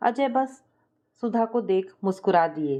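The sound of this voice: At a fairly slow pace, a woman speaks with a dark, mellow tone, a medium pitch and lively intonation.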